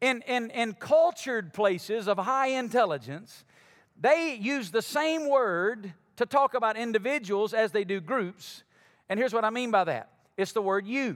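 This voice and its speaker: A man with an Alabama accent, high pitch, lively intonation and a moderate pace, on a very clean recording with a silent background. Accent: Alabama Southern. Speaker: pastor. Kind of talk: sermon. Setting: church.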